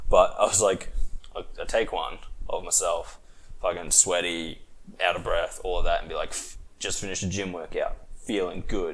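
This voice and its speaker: A man speaks at a moderate pace with an Australian accent. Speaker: podcast host. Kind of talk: casual chat. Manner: animated.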